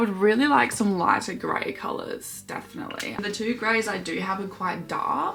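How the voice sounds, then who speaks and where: A woman talks in a relaxed tone. Audible room echo and noticeable background noise surround her voice. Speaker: hobby vlogger. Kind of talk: casual chat while colouring.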